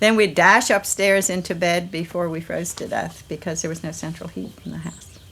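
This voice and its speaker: A woman with vocal fry talks at a moderate pace in a fairly low pitch, her intonation fairly even and her speech with hardly any pauses. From US, southern Maryland. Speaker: family member in documentary. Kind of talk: reminiscing interview.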